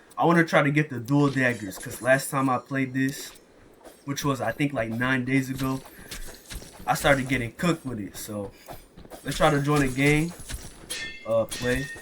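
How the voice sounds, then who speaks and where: Against noticeable background noise, a man talks in a medium pitch at a moderate pace with fairly even intonation and long, frequent pauses. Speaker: gaming YouTuber. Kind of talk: gameplay commentary.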